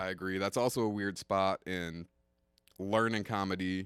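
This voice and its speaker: A man speaks in a very deep, low voice with flat, monotone intonation. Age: 20s. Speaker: stand-up comedian. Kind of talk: casual chat.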